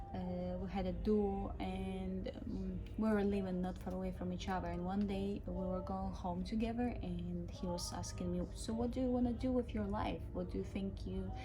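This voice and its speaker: Over noticeable background noise and audible room echo, a woman talks at a moderate pace with hardly any pauses. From Ukraine. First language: Ukrainian or Russian. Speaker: cruise ship musician and vlogger. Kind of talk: casual vlog. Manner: hesitant, many fillers.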